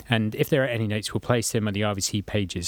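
Fairly quick speech in a very clean recording with a silent background. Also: man. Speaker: podcast host, university staff. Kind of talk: casual interview. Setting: studio. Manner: informal, hesitant with fillers.

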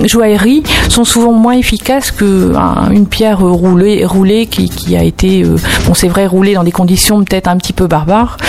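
There is noticeable background noise behind this woman. Her pitch varies in an ordinary way. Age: 50s. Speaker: stone therapy shop owner. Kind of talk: radio interview. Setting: radio studio.

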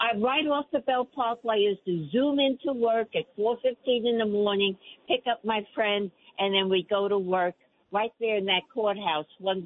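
A woman with a New York accent speaks at a fairly high pitch and a fairly slow pace. Her loudness is very even, with ordinary pitch variation. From New York City (Queens). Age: 80s+. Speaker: caller. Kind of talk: radio call-in. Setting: phone call.

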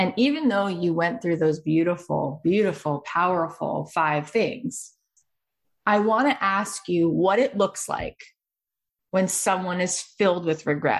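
A woman speaks with a normal speaking voice at a medium pitch and fairly slow pace. Her loudness stays very even, with ordinary pitch variation. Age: 40s. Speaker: podcast host. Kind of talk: interview conversation.

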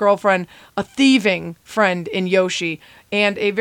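The pitch varies in an ordinary way as a natural voice reads.

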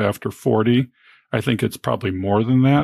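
At a fairly quick pace, a man talks in an ordinary speaking voice at medium pitch, the sound dry and close with no echo on a very clean recording with a silent background. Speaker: physician and podcast host. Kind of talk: podcast interview.

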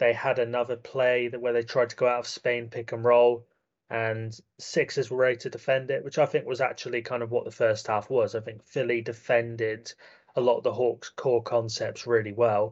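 A man with a British accent speaks at a moderate pace in a monotone, flat intonation. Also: medium pitch for a man. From UK. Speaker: basketball analyst. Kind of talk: casual chat.

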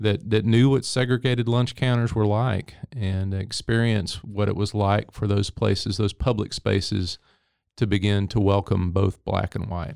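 This man has a Texan accent and a fairly low voice, speaking at a moderate pace. His intonation stays fairly even, and the recording is very clean with a silent background. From East Texas (Henderson). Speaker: history professor. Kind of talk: interview.

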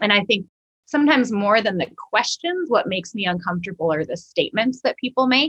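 A woman's very fast, fairly high-pitched delivery with very wide pitch swings, in a dry, close sound with no echo. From Minnesota. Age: 40s. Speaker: church ministry director and author. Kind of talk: podcast interview.

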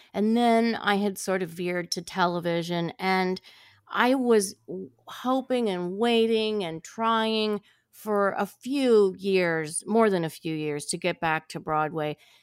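Speaking at a very slow pace, a woman with a medium pitch and ordinary pitch variation comes through on a very clean recording with a silent background. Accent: American. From US Midwest (Ohio). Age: 60s. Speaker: actress. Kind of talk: casual interview. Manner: animated.

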